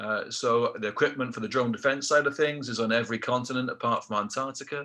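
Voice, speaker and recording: Against a quiet background, a man with a South Welsh accent speaks in a bright, sharp tone at medium pitch, moderate pace and ordinary pitch variation. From South Wales, Rhondda Valley. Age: 50s. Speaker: motivational speaker, ex-military aircrew. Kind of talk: motivational talk. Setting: webinar.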